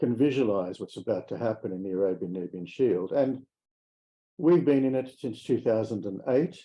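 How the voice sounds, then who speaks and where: A man with an Australian accent, medium in pitch, at a moderate pace with lively intonation. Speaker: mining company executive. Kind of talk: investor presentation.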